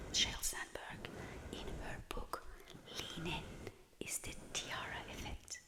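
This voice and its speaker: A woman whispers in a calm tone. Noticeable background noise is present. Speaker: working corporate professional. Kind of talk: soft-spoken ASMR talk to camera about women at work. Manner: whispered, soft-spoken, calm.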